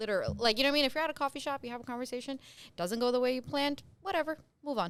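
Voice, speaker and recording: Talking very fast, a woman with an American accent sounds bubbly and animated. Her voice sits high. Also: lively intonation. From New Jersey. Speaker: real estate agent. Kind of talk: podcast interview. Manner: bubbly, animated.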